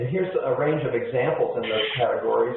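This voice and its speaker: A man talks at a very fast pace amid audible room echo and noticeable background noise. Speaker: webinar presenter, clinical engineer. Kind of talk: webinar presentation. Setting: conference call. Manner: quiet; halting, many fillers.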